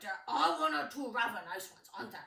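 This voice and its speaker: A put-on character voice, female-sounding and fairly high, fairly quick in pace, with slight echo. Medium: read story. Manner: gruff, curt.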